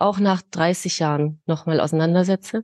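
A woman with a plain, everyday voice speaks at a fairly slow pace and fairly low pitch, her intonation fairly even, in a dry, close sound with no echo against a quiet background. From Munich, Bavaria. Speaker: grief counsellor. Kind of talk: interview. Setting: podcast.

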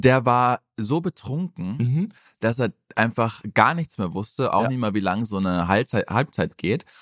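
A man with a plain, everyday voice speaks at a medium pitch with lively intonation. The recording is very clean with a silent background and a dry, close sound with no echo. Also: moderate pace. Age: 20s. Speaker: football podcast co-host. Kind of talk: casual chat.

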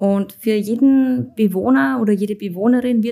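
Somewhat breathy and fairly high in pitch, a woman speaks at a very slow pace with ordinary pitch variation. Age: 30s. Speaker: hospice manager and nurse. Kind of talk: interview.

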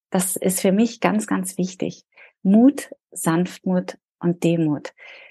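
A woman speaks very slowly in a somewhat breathy voice. The sound is dry and close with no echo, over a quiet background. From Berlin, Germany. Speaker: leadership and resilience coach. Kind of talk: interview.

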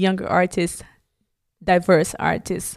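A woman with a Brazilian accent on a very clean recording with a silent background. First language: Portuguese. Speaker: dancer. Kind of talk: interview conversation.

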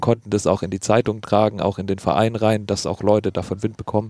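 On a very clean recording with a silent background and a dry, close sound with no echo, a man talks very fast at a fairly low pitch. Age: 20s. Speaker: doctoral student and rugby player. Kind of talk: casual chat.

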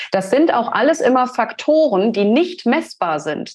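A woman uses lively intonation while keeping a moderate pace. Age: 30s. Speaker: brand strategy designer. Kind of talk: interview conversation.

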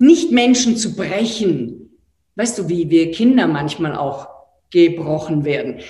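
With an Austrian accent, a woman speaks at a very slow pace with very wide pitch swings, and room echo is audible. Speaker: entrepreneur and author. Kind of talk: online talk. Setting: live online event. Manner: animated.

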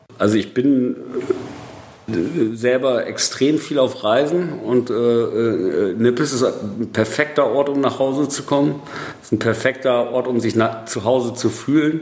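Over noticeable background noise, a man with a medium pitch speaks at a fairly slow pace. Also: ordinary pitch variation. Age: 40s. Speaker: film director. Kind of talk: casual interview. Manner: hesitant, many fillers.

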